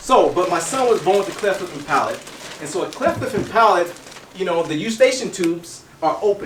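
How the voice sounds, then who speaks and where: Over noticeable background noise and audible room echo, a man speaks. He goes at a very fast pace with lively intonation. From Kentucky. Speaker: health educator. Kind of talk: health expo talk with demonstration. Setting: expo room with audience.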